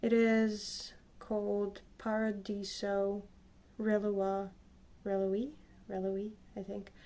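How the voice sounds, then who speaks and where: Long, frequent pauses break up a woman's very slow speech. Her dark, mellow tone stays monotone and flat. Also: medium pitch for a woman. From Slavic country. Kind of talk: casual makeup tutorial talk to camera.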